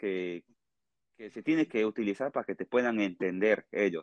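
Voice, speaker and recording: A man with a fairly low voice speaks in a Peruvian accent with lively intonation. The sound is dry and close, with no echo. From Peru, Tarapoto (Amazon region). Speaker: musician. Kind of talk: interview.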